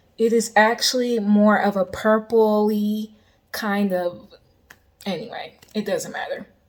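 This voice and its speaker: A woman speaks very slowly in a fairly high pitch. Her intonation is monotone and flat. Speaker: lifestyle vlogger. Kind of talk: casual vlog talk. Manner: casual, filler-heavy.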